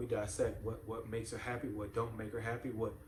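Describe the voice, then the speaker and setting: A man speaks at medium pitch and a fairly quick pace. Room echo and noticeable background noise can be heard. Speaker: parenting channel host. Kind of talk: motivational talk to camera. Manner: repetitive, halting.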